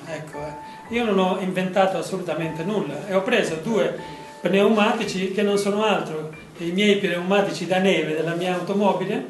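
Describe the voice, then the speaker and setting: A man with a high-pitched voice speaks at a moderate pace with fairly even intonation, with audible room echo and faint music in the background. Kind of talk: informal gallery talk. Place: hall. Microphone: camera far.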